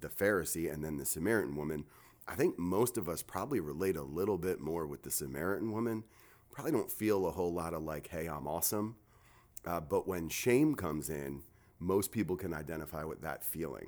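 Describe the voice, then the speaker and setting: A man with a very deep, low pitch at a fairly quick pace, in a very clean recording with a silent background. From New Jersey. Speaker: pastor. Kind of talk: casual podcast chat. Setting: studio.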